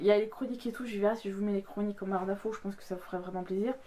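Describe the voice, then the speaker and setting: A woman's medium-pitched voice with fairly even intonation, against noticeable background noise. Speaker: book youtuber. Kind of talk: casual vlog talk. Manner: fast; hesitant, many fillers.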